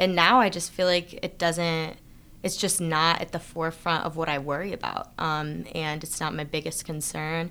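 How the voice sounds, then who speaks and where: A woman with a fairly low pitch and a bright, sharp tone speaks with fairly even intonation in a very clean recording with a silent background. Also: moderate pace. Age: 20s. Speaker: spoken word poet. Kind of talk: interview. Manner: casual, many fillers.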